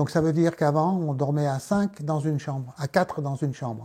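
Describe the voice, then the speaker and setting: A man speaks with a dark, mellow tone at a fairly high pitch. His voice is somewhat breathy, with fairly even intonation. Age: 70s. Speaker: elder interviewee. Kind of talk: casual interview with a child.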